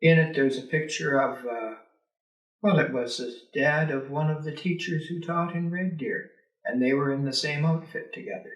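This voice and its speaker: Speaking at a moderate pace in a fairly high voice, a man with a Canadian Prairies accent is heard amid audible room echo. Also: ordinary pitch variation. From rural Alberta, Canada. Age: 70s. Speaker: retired teacher and politician. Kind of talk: oral history interview. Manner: hesitant, many filler words.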